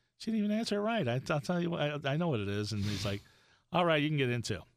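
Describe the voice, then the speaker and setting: A man speaks with a slight New York accent on a very clean recording with a silent background. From Florida (Miami), born in Brooklyn. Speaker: goth comedian and podcaster. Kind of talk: casual chat. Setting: studio.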